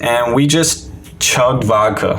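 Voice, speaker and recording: Over noticeable background noise and audible room echo, a man speaks in an American accent with ordinary pitch variation. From Maryland, US. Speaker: recovering addict sharing his story. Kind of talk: personal testimony in podcast interview. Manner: loud; casual, filler-heavy.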